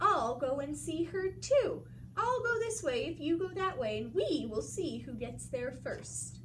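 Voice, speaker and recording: A woman's put-on, growling character voice at a fairly slow pace, with clear background noise. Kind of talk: bedtime story. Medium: read story. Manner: sly, scheming.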